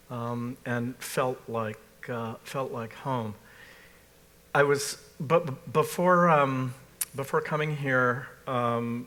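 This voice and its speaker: A man with an American accent, medium in pitch with ordinary variation, in a bright, sharp tone at a very slow pace with long, frequent pauses. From US Northeast, Massachusetts. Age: 60s. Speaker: art critic. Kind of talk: panel discussion. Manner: halting, many fillers.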